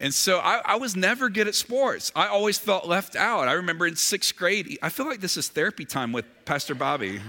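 This man's voice is high-pitched, bright and sharp, raised and projected with very wide pitch swings. He moves at a fairly quick pace with hardly any pauses. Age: 40s. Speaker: pastor. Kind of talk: sermon.

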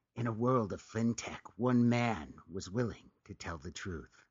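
A man's put-on character voice, medium in pitch, dramatic in tone, at a moderate pace. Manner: dramatic, deep.

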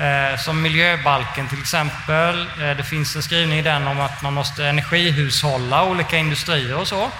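Over noticeable background noise and audible room echo, a man talks with a fairly high pitch. His moderate pace has hardly any pauses, and his intonation is fairly even. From Småland, Sweden. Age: 40s. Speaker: climate researcher and author. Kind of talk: interview before live audience. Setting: stage with audience in a hot exhibition hall. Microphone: poor sound conditions.

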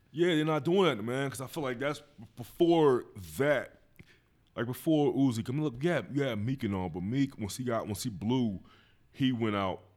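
Using an unremarkable speaking voice, a man talks at a medium pitch and moderate pace with lively intonation. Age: 30s. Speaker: podcast host. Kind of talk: casual chat.

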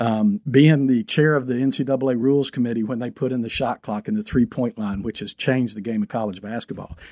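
Talking at a fairly quick pace with hardly any pauses, a man of medium pitch has a dark, mellow tone in a dry, close sound with no echo. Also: ordinary pitch variation. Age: 50s. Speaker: university athletic director. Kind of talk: interview.

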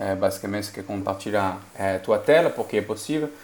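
Fairly even in intonation, a man speaks at a moderate pace. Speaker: mobile engineering lead. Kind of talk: casual tech podcast chat. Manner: halting, many repetitions.

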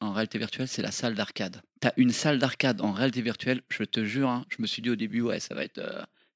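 On a very clean recording with a silent background and a dry, close sound with no echo, a man talks at a very fast pace and a medium pitch, with fairly even intonation and hardly any pauses. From France, Seine-et-Marne. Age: 40s. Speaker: arcade association founder. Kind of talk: casual chat.

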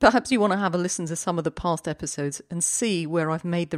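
An ordinary speaking voice moves at a fairly quick pace with ordinary pitch variation. The sound is dry and close with no echo. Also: woman. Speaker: career coach podcast host. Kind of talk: scripted monologue.

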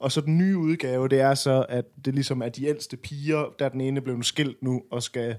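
In a very clean recording with a silent background, a man with a plain, everyday voice speaks at a moderate pace with fairly even intonation. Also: medium pitch for a man. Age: 30s. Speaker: podcast co-host. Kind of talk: casual chat.

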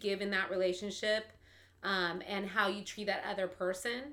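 A woman speaks at a moderate pace in a bright, sharp tone, her intonation flat and monotone. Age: 40s. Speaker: podcast guest. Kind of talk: casual chat.

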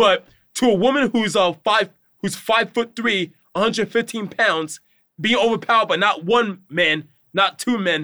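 Raising and projecting his voice, a man speaks at a high pitch in a bright, sharp tone with ordinary pitch variation. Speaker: personal trainer. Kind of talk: casual chat. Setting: in person studio.

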